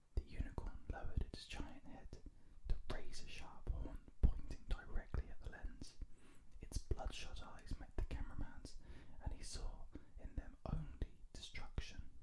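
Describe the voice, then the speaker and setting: Someone is whispering. The pace is fairly slow. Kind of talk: read-aloud book excerpt. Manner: whispered, soft-spoken.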